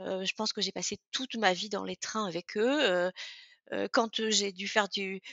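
Her medium pitch moving with ordinary variation, a woman talks at a very slow pace. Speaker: author and former executive. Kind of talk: interview. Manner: halting, many fillers.

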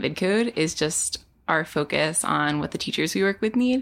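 A woman with a normal speaking voice talks fairly slowly at a fairly low pitch, her intonation lively. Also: very clean recording, silent background. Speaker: ed-tech co-founder. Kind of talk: casual chat. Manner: frequent fillers like 'like' and 'um'.

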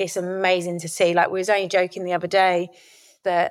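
This woman speaks with a southeast English accent at a medium pitch. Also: very clean recording, silent background. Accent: south-east English. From Kent, south-east England. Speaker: former rugby player. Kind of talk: interview.

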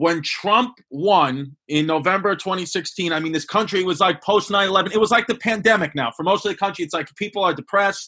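With a Brooklyn accent, a high-pitched man talks in a raised, projected voice with a bright, sharp tone, at a fairly quick pace with hardly any pauses. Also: ordinary pitch variation. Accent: Brooklyn New York. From New York (Bay Ridge, Brooklyn). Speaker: comedian. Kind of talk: casual chat.

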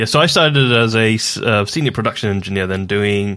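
A bright, sharp tone with an English accent and ordinary pitch variation. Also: man, very clean recording, silent background. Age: 30s. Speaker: podcast host, mechanical engineer. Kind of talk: casual chat.

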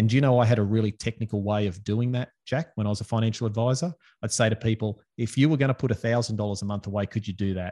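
In an Australian accent, a man with a fairly low pitch and a dark, mellow tone speaks at a very fast pace with fairly even intonation. The sound is dry and close with no echo, over a quiet background. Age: 40s. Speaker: financial advisor. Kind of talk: casual interview chat.

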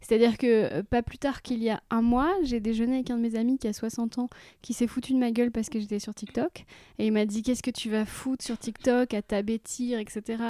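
A woman's fairly high-pitched voice with a dark, mellow tone and fairly even intonation, at a moderate pace, with a dry, close sound, no echo, and a very clean recording with a silent background. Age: 40s. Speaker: podcast host, author and comedian. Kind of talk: interview conversation.

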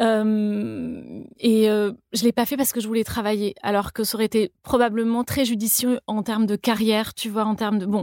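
The pace is moderate. This woman's voice sits fairly high. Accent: slight Toulouse. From France, Toulouse. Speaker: cookbook author and food creator. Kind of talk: interview conversation. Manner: hesitant, many fillers.

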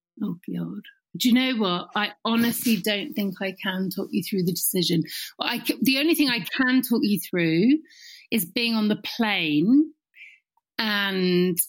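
A woman's somewhat breathy voice at a medium pitch, lively in intonation, on a very clean recording with a silent background. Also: fairly slow pace. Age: 40s. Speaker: talent manager and coach. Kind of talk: casual chat.

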